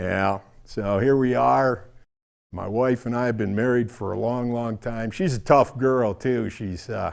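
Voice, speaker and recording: An ordinary speaking voice moves at a fairly slow pace with ordinary pitch variation. The recording is very clean, its background silent. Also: man, medium pitch for a man. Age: 60s. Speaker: stand-up comedian. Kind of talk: stand-up.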